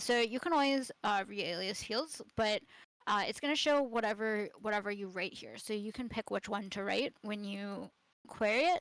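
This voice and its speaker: A woman's voice with ordinary pitch variation comes through dry and close, with no echo. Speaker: wiki tutorial instructor. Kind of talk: live tutorial. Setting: live stream on Discord. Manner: fast; hesitant fillers.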